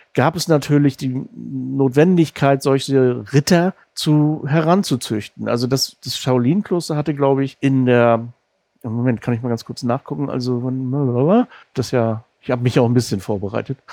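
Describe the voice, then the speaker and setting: In a dry, close sound with no echo and a quiet background, a man with a slight northern German accent speaks in a dark, mellow tone at a medium pitch with ordinary pitch variation. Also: moderate pace. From northern Germany, Rostock. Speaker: podcast host. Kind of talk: interview.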